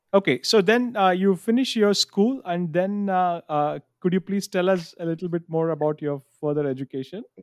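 A high-pitched man talks with hardly any pauses and ordinary pitch variation. The sound is dry and close with no echo. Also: moderate pace. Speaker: podcast host. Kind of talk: interview conversation. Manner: hesitant, many fillers.

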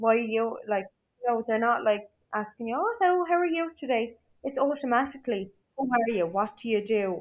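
Talking at a fairly quick pace, a woman with an Irish accent has a fairly high pitch and lively intonation. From Ireland. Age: 20s. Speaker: social media influencer. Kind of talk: casual chat.

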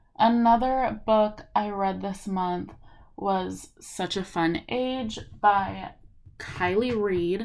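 In an American accent, a woman of medium pitch speaks at a very slow pace with fairly even intonation. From Los Angeles, California. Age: 20s. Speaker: podcast host, college student. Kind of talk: casual solo monologue. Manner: chatty, many fillers.

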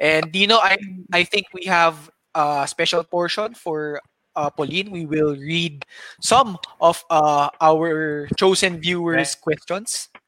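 A man with a Filipino accent speaks at a very slow pace in a high, bright, sharp voice with fairly even intonation. The sound is dry and close, with no echo. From Philippines. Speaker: podcast host. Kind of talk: casual chat.

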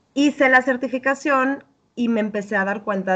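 A woman with a Mexican accent talks at a fairly quick pace. Her pitch variation is ordinary. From Mexico. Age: 30s. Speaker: health and habits coach. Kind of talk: interview.

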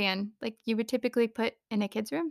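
In a very clean recording with a silent background, a woman with an American accent speaks in a fairly high pitch and an animated tone, the sound dry and close with no echo. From US Southwest, Phoenix, Arizona. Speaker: podcast host. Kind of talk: casual monologue. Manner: animated, frequent laughter.

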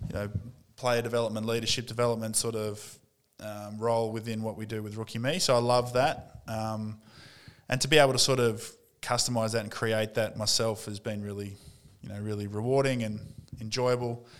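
A man with an Australian accent talks at medium pitch and a fairly quick pace. His intonation is monotone and flat, but his loudness swings widely. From North East Victoria, Australia. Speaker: former pro footballer, sports coaching executive. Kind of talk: interview.

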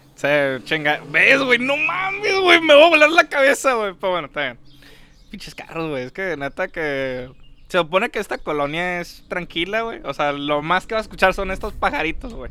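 A man speaks in a raised, projected voice with high pitch. His pitch swings are very wide and his loudness swings a lot. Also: moderate pace. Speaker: podcast co-host. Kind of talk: casual chat. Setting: outdoors.

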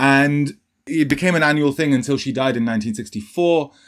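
This man uses a plain, everyday voice with ordinary pitch variation. He talks at a fairly quick pace. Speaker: podcast host. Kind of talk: casual discussion podcast.

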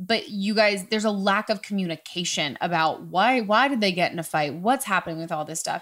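Barely pausing, a woman talks at a fairly quick pace in a medium pitch, her tone animated and her intonation lively. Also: very clean recording, silent background. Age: 20s. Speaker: podcast host and actress. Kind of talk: casual chat. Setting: studio.

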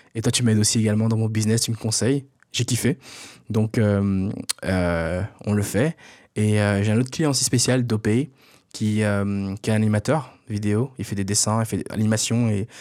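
The voice has a dark, mellow tone and a moderate pace, with long, frequent pauses. The recording is very clean, with a silent background. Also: man, fairly low pitch for a man, fairly even intonation. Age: 20s. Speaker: podcast host and entrepreneur. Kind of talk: casual solo monologue. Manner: halting, many fillers and repetitions.

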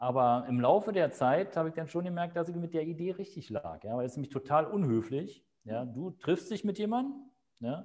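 The voice moves in very wide pitch swings. It keeps a moderate pace. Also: man, fairly high pitch for a man. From Berlin. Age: 50s. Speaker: real estate agent. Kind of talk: interview. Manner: hesitant, many fillers.

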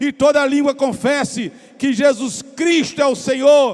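Speaking with a Brazilian accent, a man uses an extremely high pitch and ordinary pitch variation. His tone is animated, and there is noticeable background noise. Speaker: pastor. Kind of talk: sermon, expository preaching during communion service. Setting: church. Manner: animated, urging, rhythmic call-and-response cadence ('Vamos lá'); emphatic, pausing to address congregation directly.

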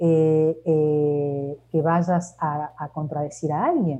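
Noticeable background noise sits under a woman's fairly low-pitched voice. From Argentina. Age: 50s. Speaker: leadership coach and consultant. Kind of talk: interview.

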